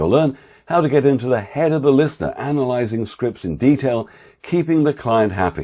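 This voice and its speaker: A man with a British accent and a dark, mellow tone, against a quiet background. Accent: RP British. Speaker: voice-over artist and course instructor. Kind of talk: course promo. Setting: home office.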